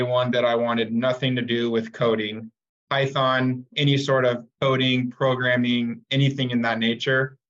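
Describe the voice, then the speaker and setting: In an American accent, a man with a medium pitch speaks at a fairly slow pace, with very even loudness and a monotone, flat intonation. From Arizona, Phoenix area. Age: 20s. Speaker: construction project manager. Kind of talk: interview.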